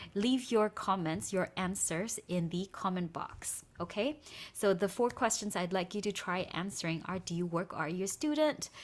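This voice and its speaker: On a very clean recording with a silent background, a woman with a normal speaking voice talks at a moderate pace with lively intonation. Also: medium pitch for a woman. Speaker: English teacher. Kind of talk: tutorial. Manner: code-switching Burmese and English.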